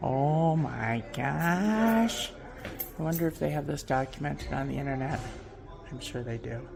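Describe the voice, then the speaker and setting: The talking is fairly slow, and noticeable background noise runs beneath it. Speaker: travel vlogger. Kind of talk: casual vlog narration. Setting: research library in a museum. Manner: animated.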